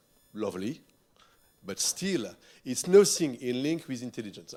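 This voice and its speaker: With a French accent and an animated tone, a man swings his pitch very widely in a very clean recording with a silent background. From France. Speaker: futurist keynote speaker. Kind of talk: keynote speech. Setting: stage with audience.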